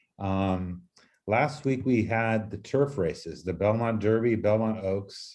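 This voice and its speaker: Against a quiet background, a man with a fairly low pitch talks at a very slow pace with ordinary pitch variation. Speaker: podcast host. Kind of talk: casual chat.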